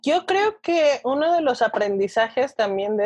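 A woman with an ordinary speaking voice delivers her words at a moderate pace, her intonation lively. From Mexico, Toluca. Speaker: nutritionist. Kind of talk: interview.

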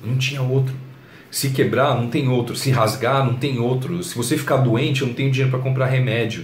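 A man at medium pitch and a fairly quick pace with monotone, flat intonation, with audible room echo and noticeable background noise. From Brazil, São Paulo. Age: 30s. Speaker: YouTuber and blogger on personal development. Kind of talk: motivational talk to camera. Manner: casual, conversational.

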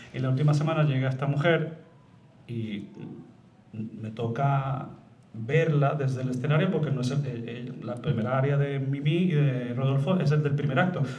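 There is audible room echo around this man's voice. He speaks at a fairly high pitch and a moderate pace. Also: ordinary pitch variation. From Madrid, Spain, with Puerto Rican mother. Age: 40s. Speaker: opera tenor. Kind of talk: interview before live audience. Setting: stage with audience.

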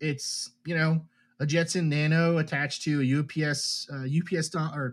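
A man's fairly high voice at a fairly slow pace, an unremarkable speaking voice, in a very clean recording with a silent background. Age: 30s. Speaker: chemical engineer and UFO research project member. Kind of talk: interview.

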